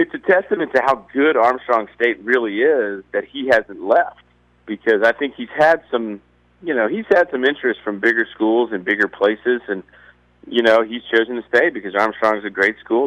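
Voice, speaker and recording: Speaking with a Southern US accent, a man uses a medium pitch and ordinary pitch variation at a moderate pace. The sound is dry and close, with no echo. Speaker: newspaper golf columnist. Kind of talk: radio interview. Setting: phone call.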